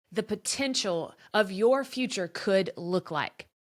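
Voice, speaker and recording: A woman speaks loudly in a bright, sharp tone with lively intonation. Her tone is enthusiastic. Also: very clean recording, silent background. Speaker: podcast host and former teacher turned business coach. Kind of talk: podcast monologue, promotional pitch. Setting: her office.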